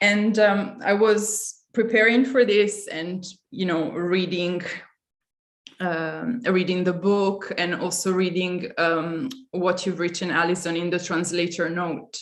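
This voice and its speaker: In an Italian accent, a woman speaks at a very slow pace with a medium pitch and fairly even intonation, with audible room echo. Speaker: curator. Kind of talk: panel discussion.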